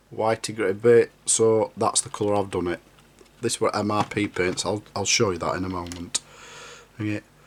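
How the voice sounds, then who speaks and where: Against noticeable background noise, a man with a Yorkshire accent speaks at a moderate pace. His fairly low voice stays monotone and flat. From Yorkshire, northern England. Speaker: scale model builder. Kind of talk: hobby tutorial.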